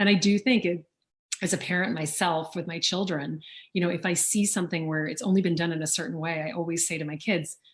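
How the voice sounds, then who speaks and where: A woman with an American accent talks at a very fast pace, her fairly low voice somewhat breathy and her intonation fairly even. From US South, Louisiana. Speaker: auctioneer and author. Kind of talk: interview. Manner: fluent.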